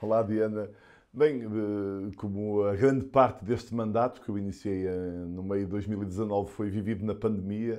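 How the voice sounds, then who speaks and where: Against a quiet background, a man with a northern Portuguese accent speaks at a fairly low pitch in a dark, mellow tone with fairly even intonation. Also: moderate pace. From northern Portugal, Porto. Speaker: politician and physician. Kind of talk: interview.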